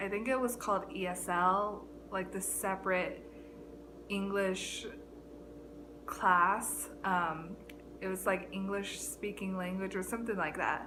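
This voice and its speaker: A woman with an American accent at a medium pitch, fairly even in intonation, at a fairly slow pace with long, frequent pauses and audible room echo. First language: Chinese. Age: 20s. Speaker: YouTuber, college student. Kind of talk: casual vlog monologue. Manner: halting, many fillers.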